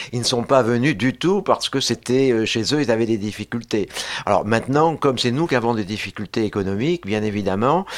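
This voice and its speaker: Here is a man with an ordinary speaking voice at medium pitch. He talks at a fairly quick pace with ordinary pitch variation. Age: 60s. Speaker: social science researcher and lecturer. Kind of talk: radio panel discussion.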